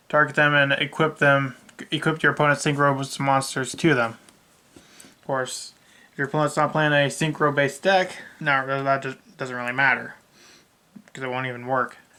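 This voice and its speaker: His fairly high voice has a bright, sharp tone, and this man sounds bored, his intonation fairly even. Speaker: card game YouTuber. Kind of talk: deck profile tutorial. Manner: bored-sounding; casual with fillers.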